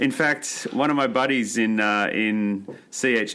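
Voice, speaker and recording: With an Australian accent, a man speaks at a fairly low pitch in a bright, sharp tone with fairly even intonation. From Australia, Maitland near Newcastle NSW. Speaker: environmental organisation chief of staff, former political staffer. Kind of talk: podcast interview. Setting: office in New York.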